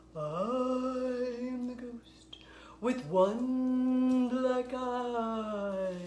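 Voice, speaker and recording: A put-on character voice, female-sounding and high-pitched for a woman, over clear background noise. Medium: read story.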